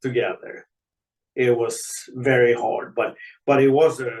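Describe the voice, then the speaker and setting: A man at medium pitch, speaking at a very slow pace. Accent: Swedish. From Sweden. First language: Swedish. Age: 70s. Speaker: retired ice hockey player. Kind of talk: podcast interview.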